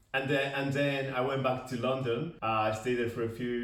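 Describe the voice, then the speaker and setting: Audible room echo and noticeable background noise surround this recording. A man talks at a fairly quick pace with fairly even intonation. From Basque Country, Spain. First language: Spanish. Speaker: podcast co-host. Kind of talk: casual chat.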